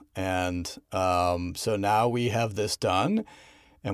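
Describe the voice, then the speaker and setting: Fairly low in pitch, a man talks in a normal speaking voice with fairly even intonation. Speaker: podcast director and actor. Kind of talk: casual interview chat. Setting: video call.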